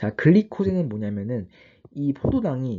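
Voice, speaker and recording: A man at a moderate pace, somewhat breathy, with very wide pitch swings. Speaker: online biology tutor. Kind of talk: lecture. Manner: halting, self-correcting.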